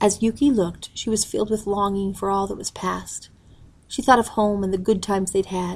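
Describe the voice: Intonation stays fairly even through the plain reading aloud.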